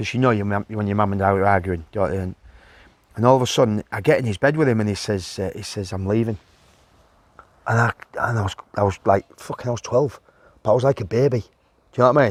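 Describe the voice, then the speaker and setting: A man with a Yorkshire accent talks at a very fast pace and a fairly low pitch, with ordinary pitch variation. Long, frequent pauses break it up, and the sound is dry and close with no echo. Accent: Yorkshire (Hull). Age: 50s. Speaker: former professional footballer. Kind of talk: casual interview.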